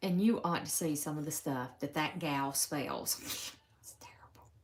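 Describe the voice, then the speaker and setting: Big swings in loudness mark this fairly slow delivery in a Southern US accent, with ordinary pitch variation. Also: woman. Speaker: crafter demonstrating embroidery. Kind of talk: live stream stitch-along. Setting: home live stream. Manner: casual, chatty.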